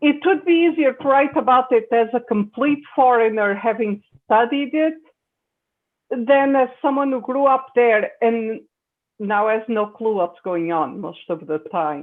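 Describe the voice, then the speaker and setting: A woman with a Portuguese accent speaks at a fairly slow pace. Her high-pitched voice has lively intonation. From Portugal. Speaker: science fiction writer. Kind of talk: panel discussion. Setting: video call.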